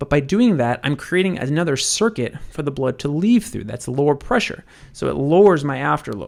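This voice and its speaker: A man speaks at a fairly quick pace in a fairly high pitch, his voice swinging very widely up and down. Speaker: medical educator. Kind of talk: lecture. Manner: fast.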